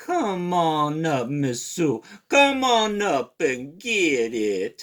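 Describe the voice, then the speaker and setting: A man puts on a character voice at a fairly high pitch. He talks at a very slow pace. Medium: read story. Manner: sly, wheedling.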